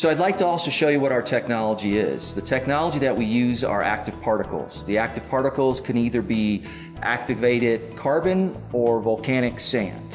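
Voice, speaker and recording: With clear music in the background, the speech moves at a fairly quick pace with hardly any pauses. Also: man. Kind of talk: corporate explainer. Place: studio. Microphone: lapel.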